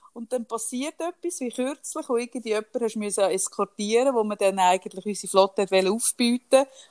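A woman with a plain, everyday voice speaks at a fairly quick pace and fairly high pitch. Her pitch variation is ordinary, and the sound is dry and close with no echo. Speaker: podcast co-host. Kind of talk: casual chat.

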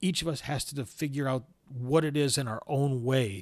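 The recording is very clean with a silent background. An ordinary speaking voice talks at a moderate pace. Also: man. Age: 50s. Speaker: podcast host living with spondyloarthritis. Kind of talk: solo podcast monologue.

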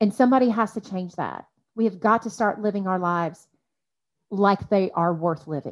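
A woman with an ordinary speaking voice, medium pitch, and ordinary pitch variation at a moderate pace on a very clean recording with a silent background. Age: 40s. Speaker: life coach. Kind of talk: casual chat.

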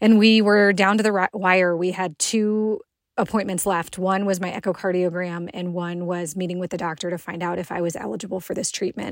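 A woman talks with a plain, everyday voice at a fairly quick pace, with hardly any pauses. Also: medium pitch for a woman, fairly even intonation. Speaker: cancer survivor telling a personal story. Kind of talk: personal testimony.

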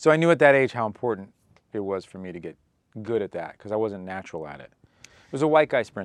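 Against a quiet background, a man with a fairly low pitch speaks at a very fast pace. His pitch swings very widely and his loudness swings a lot. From New York. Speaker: painter and graffiti artist. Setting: studio. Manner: animated, profane, self-aware.

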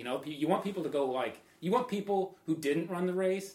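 A man with an American accent talks at a moderate pace in an unremarkable speaking voice with ordinary pitch variation. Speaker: trail runner and photographer. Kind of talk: casual chat.

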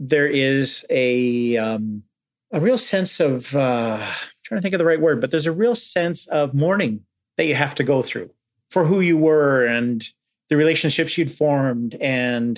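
Speaking in a Canadian accent, a man uses a fairly high pitch and lively intonation at a fairly slow pace. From Canada, Alberta (Edmonton). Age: 40s. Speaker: former journalist turned student. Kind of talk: interview. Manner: halting, with many fillers.

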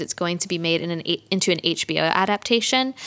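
Very fast speech from a woman, with noticeable background noise behind it. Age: 30s. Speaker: independent bookstore owner. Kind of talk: casual chat.

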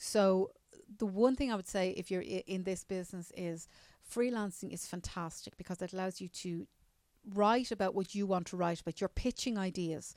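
In a very clean recording with a silent background, a woman with a Dublin accent talks at a moderate pace and a medium pitch. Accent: Dublin Irish. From Ireland, Newcastle near Dublin. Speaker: journalist. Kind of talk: interview. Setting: convention center.

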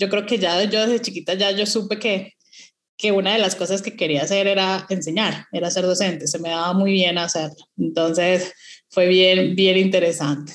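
She speaks in an ordinary speaking voice at a medium pitch and moderate pace. Her intonation stays fairly even. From Venezuela, Caracas. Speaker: mathematics professor. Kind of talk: panel discussion.

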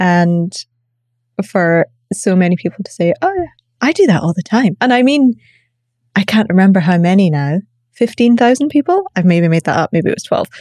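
A woman with a medium pitch and a dark, mellow tone speaks at a moderate pace with lively intonation and long, frequent pauses, the sound dry and close with no echo. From Scotland. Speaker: coach and facilitator. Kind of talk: casual interview chat. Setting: podcast interview.

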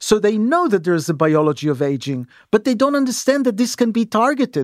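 A man speaks fairly quickly at a high pitch, with very wide pitch swings. The sound is dry and close with no echo, on a very clean recording with a silent background. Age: 60s. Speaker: aging research scientist. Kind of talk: interview. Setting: studio. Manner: halting, repeats words.

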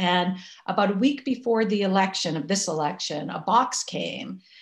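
Vocal fry runs through this lively, moderately paced delivery in an American accent, captured in a very clean recording with a silent background. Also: woman. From Massachusetts. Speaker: activist and writer. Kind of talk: interview.

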